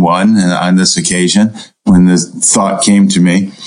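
A man with an unremarkable speaking voice, a moderate pace, and fairly even intonation. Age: 60s. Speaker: turfgrass researcher, professor. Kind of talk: interview.

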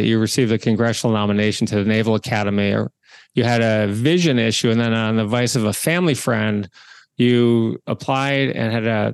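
Here a man uses a normal speaking voice at a medium pitch, talking at a fairly quick pace with fairly even intonation. The sound is dry and close with no echo, over a quiet background. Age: 50s. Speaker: podcast host and entrepreneur. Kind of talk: interview.

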